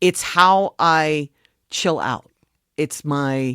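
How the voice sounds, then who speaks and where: An animated voice with an American accent comes through a very clean recording with a silent background and a dry, close sound with no echo. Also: woman. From Philadelphia suburbs, US. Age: 60s. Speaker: music industry advocate. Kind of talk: interview.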